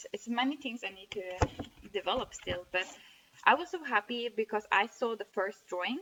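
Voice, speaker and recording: With a Norwegian accent, a woman speaks at a fairly high pitch with lively intonation, her sound dry and close with no echo. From northern Norway. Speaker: amateur artist, blogger. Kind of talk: casual video diary showing drawings. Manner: halting, frequent self-corrections.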